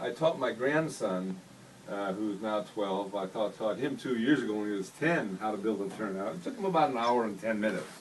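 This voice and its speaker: There is noticeable background noise as a man talks at a fairly quick pace with a fairly low pitch and ordinary pitch variation. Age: 70s. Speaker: model railroad hobbyist showing his layout. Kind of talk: casual layout tour talk. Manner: halting, with repeats.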